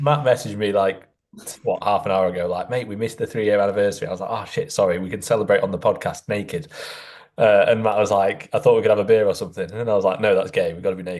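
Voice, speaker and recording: Against a quiet background, a man with a Yorkshire accent talks at a very fast pace. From northern England, near Doncaster. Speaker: physique coach and podcast host. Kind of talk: casual podcast chat.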